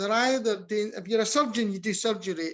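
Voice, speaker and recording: A man speaks with a slight Scottish accent and a high pitch. His intonation is lively. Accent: Scottish, mild. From Scotland. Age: 50s. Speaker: health service researcher and academic. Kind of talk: podcast interview. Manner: halting, frequent restarts.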